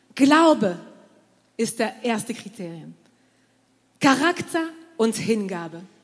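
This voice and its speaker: At a very slow pace, a woman talks with very wide pitch swings. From southern France. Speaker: pastor. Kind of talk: sermon.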